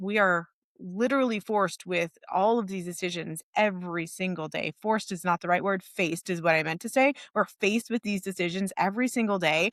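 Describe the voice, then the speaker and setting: A woman with an unremarkable speaking voice talks fairly quickly at a medium pitch with ordinary variation, the sound dry and close with no echo in a very clean recording over a silent background. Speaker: podcast co-host for financial coaches. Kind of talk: podcast conversation.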